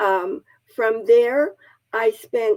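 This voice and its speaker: The tone is dark and mellow, with lively intonation. The sound is dry and close with no echo. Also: woman. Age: 80s+. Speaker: charity founder and church member. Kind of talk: interview testimony.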